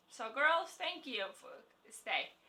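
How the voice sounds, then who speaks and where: With a non-native accent, a woman speaks at a very slow pace in a bright, sharp tone with very wide pitch swings. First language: not English. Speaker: beauty vlogger. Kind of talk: product review vlog. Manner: halting; enthusiastic.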